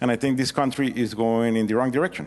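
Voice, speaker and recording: A man speaks with a Mexican accent. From Mexico. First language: Spanish. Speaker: congressional candidate. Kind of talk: debate opening statement. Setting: public forum with audience.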